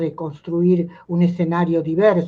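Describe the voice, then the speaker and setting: This is a woman's voice. Her pitch sits fairly low. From Argentina. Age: 80s+. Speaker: playwright and writer. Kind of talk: talk with students. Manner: halting, many fillers.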